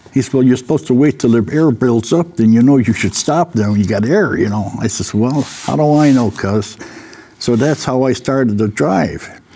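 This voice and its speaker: Lively intonation at a moderate pace, against noticeable background noise. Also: man. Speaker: senior panelist. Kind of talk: casual chat.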